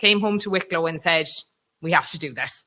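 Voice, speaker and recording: Bright and sharp in tone, a woman speaks with a West Cork accent. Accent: West Cork Irish. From Ireland, West Cork. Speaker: conference speaker, mental health walking programme coordinator. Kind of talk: conference presentation.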